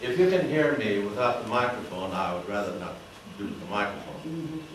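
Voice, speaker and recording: Noticeable background noise and audible room echo behind a man, his pace moderate and pitch variation ordinary. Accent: American. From Arizona (Jerome area). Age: 80s+. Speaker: retired teacher. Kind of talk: talk to a club audience. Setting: meeting room with audience. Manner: halting. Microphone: speaking without microphone.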